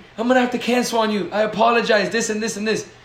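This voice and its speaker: A man talks at a very fast pace in a high voice with an animated tone. Noticeable background noise and audible room echo surround him. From Dominican heritage. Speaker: podcast co-host. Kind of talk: casual chat.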